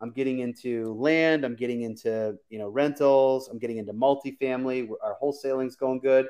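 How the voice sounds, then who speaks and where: A man with an American accent uses a normal speaking voice at medium pitch and a fairly quick pace with hardly any pauses. His intonation is fairly even, though his loudness swings widely. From US Midwest (Michigan). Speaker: real estate investor. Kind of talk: casual interview. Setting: live video stream.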